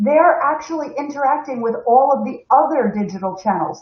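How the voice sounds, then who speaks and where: A woman with an American accent moves through very wide pitch swings at a moderate pace. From United States. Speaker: corporate webinar host. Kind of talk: live stream presentation. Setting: live stream from home.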